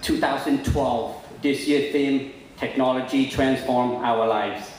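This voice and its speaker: A man at a medium pitch speaks with ordinary pitch variation. Noticeable background noise and audible room echo accompany him. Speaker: conference speaker. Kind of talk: speech. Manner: hesitant, many fillers; usually slow, hurrying now.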